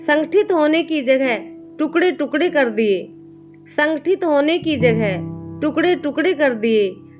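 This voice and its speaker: The pitch swings very widely while music plays in the background. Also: woman. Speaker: poet. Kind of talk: poetry reading.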